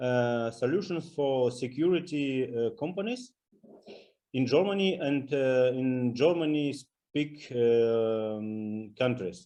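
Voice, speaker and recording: A man with a Russian accent speaks very slowly at a medium pitch, his dark, mellow tone showing ordinary pitch variation against a quiet background. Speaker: business partner, security company. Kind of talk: self-introduction in business meeting. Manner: halting, struggling for words.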